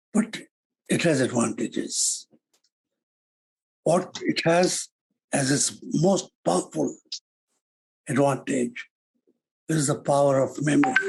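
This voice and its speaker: Slowly and with a somewhat breathy voice, a man of fairly high pitch speaks with lively intonation at a very slow pace. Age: 70s. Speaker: human rights activist. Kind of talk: lecture.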